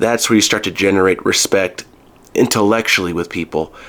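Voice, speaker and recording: A man speaks in a very deep, low pitch. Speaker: counselor, self-help video host. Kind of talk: solo talk to camera. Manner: loud; halting.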